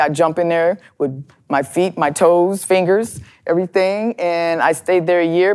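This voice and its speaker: A woman with an American accent speaks in a normal speaking voice, her fairly low pitch carried on fairly even intonation. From US Midwest, Chicago and Minneapolis. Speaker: plumber and pipe fitter, advocate for women in trades. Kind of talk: interview. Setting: studio.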